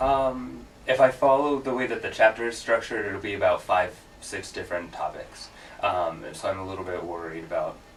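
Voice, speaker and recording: Big swings in loudness come from a man speaking over noticeable background noise. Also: fairly quick pace. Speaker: student presenter. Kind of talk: casual chat. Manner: fast.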